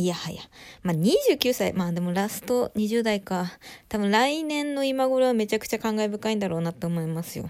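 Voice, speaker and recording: A woman talks at a moderate pace. Her fairly high voice has lively intonation. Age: 20s. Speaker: solo podcaster. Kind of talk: casual solo talk. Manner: stumbling over words.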